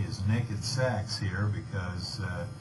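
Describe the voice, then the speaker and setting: Noticeable background noise and audible room echo accompany a man speaking at a fairly low pitch. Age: 60s. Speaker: saxophonist. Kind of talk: radio interview. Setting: radio studio.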